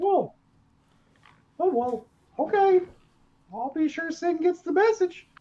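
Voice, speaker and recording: An extremely high-pitched, put-on character voice speaks at a fairly slow pace. Long, frequent pauses break up the lines. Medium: actual play. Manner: upbeat, casual.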